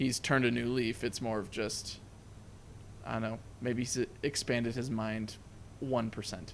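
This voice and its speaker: A man speaks with fairly even intonation over light background noise. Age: 20s. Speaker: movie review podcast co-host; movie review podcast host. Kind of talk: casual chat. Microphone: studio mic.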